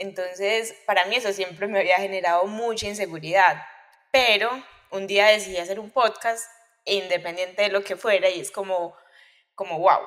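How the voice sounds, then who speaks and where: A woman speaks at a medium pitch and moderate pace, with fairly even intonation but big swings in loudness. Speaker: podcast host. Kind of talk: interview.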